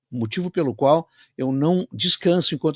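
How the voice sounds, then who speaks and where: Recorded very cleanly against a silent background, a man speaks at a fairly high pitch with lively intonation. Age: 60s. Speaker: radio host. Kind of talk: radio interview. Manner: halting; animated.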